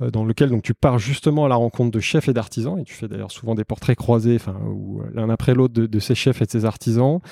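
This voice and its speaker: A man talks at a fairly quick pace in a dark, mellow tone with ordinary pitch variation. The sound is dry and close, with no echo. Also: medium pitch for a man, very clean recording, silent background. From Savoie, France. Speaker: podcast host. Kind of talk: casual interview. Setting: at the guest's home.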